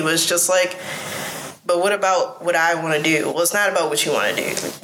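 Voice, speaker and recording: Noticeable background noise under a woman with a fairly low pitch and fairly even intonation. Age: 20s. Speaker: illustrator and founder. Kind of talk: casual interview conversation. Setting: gallery, recorded in person.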